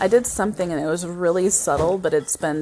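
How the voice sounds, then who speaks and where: Talking at a very fast pace, a woman sounds animated. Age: 40s. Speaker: podcast co-host. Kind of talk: casual chat.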